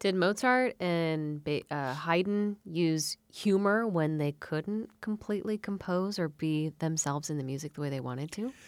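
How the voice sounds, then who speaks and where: A woman with a plain, everyday voice, pitched fairly low, talks at a fairly slow pace with lively intonation and hardly any pauses on a very clean recording with a silent background. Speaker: radio host. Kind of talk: radio interview. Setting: studio.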